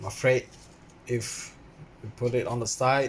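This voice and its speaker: A man speaking at a very slow pace. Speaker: RC car hobbyist. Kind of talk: casual talk to camera. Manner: hesitant, many fillers.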